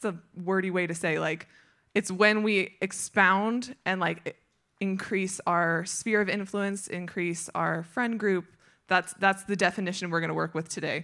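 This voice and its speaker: A woman talks at a fairly slow pace with a bright, sharp tone and fairly even intonation. The background is quiet. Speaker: speaker. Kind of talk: sermon. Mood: warm, light laughter. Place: stage. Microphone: handheld.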